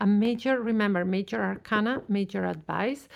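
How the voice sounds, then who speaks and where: A plain, everyday voice, this woman's medium pitch comes at a fairly slow pace in a very clean recording with a silent background. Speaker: tarot reader. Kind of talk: tarot reading.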